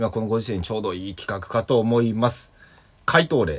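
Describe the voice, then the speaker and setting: Moderate-paced speech from a man. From Kansai. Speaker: comedian. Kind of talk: solo radio talk. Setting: remote recording.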